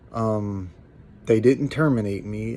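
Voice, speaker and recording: A man speaks at a moderate pace. His medium-pitched voice has a dark, mellow tone. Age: 40s. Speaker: YouTuber and truck driver. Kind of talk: personal vlog update. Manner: halting.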